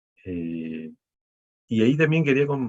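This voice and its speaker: Somewhat breathy, a man talks at a fairly slow pace with lively intonation, and the sound is dry and close with no echo. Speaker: professor. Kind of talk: panel talk. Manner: hesitant, many fillers.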